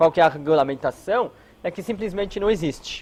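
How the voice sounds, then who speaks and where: A man speaks with lively intonation. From Israel. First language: non-native Portuguese speaker, from Israel (speaking Portuguese). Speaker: hotel security consultant. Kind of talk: lecture. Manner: halting, many filler words.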